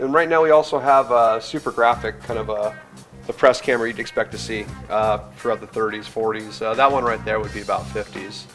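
Clear music sits in the background as a man talks at a fairly quick pace. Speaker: camera shop owner. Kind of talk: interview answer. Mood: relaxed, enthusiastic. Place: shop.

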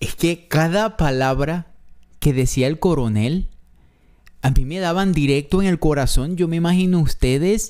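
A man speaks at a very slow pace with a fairly high pitch. His pitch varies in an ordinary way against a quiet background. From not Mexico, foreign to Mexico. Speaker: reaction youtuber. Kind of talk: reaction video, casual commentary. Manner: emotional, moved, animated. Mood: moved, emotional. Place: home room. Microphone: studio mic.

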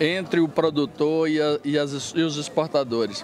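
Light background noise sits under a man's fairly high voice, recorded dry with no echo. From Bahia, Brazil. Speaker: coffee farmer and cooperative president. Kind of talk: interview. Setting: event venue. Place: hall. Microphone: handheld.

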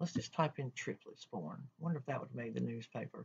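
A woman's very deep, low voice with vocal fry, a coastal North Carolina accent and a fairly quick pace. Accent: coastal North Carolina Southern. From North Carolina coast, Carteret County. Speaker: library assistant; library staff tutor. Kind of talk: tutorial. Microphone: webcam.

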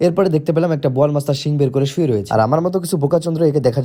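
A man's dark, mellow tone. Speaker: travel vlogger. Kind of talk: vlog voice-over narration. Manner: animated, joking.

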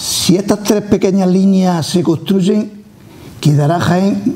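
Very slowly, a man speaks in a high voice. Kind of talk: interview answer. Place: studio.

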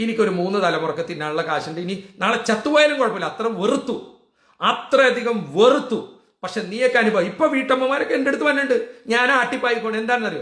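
A man talks at an extremely high pitch in an animated tone with lively intonation. Audible room echo surrounds his voice. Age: 60s. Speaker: political vlogger. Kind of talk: political rant.

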